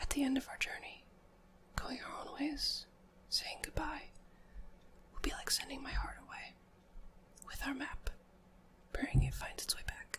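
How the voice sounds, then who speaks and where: Whispering at a moderate pace, a woman leaves long, frequent pauses and swings widely in loudness amid noticeable background noise. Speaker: ASMR creator. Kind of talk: poetry reading.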